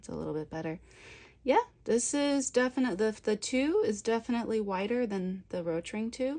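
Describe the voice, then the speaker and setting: A quiet woman with a dark, mellow tone and fairly high pitch talks at a moderate pace, with lively intonation and big swings in loudness. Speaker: coloring book illustrator, art tutorial creator. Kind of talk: tutorial. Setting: home art studio. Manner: gets quiet while drawing; casual, conversational.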